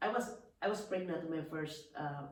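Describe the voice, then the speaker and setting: Recorded with audible room echo and noticeable background noise, a woman with a Filipino accent speaks in a very deep, low voice. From Philippines. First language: Filipino language. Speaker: businesswoman. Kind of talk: casual interview about life story. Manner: halting, with many restarts.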